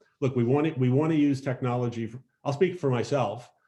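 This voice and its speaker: Fairly quick and somewhat breathy, a man talks with a dark, mellow tone at medium pitch. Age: 70s. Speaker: nonprofit founder hosting online meeting. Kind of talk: casual talk in video meeting. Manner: halting, many restarts.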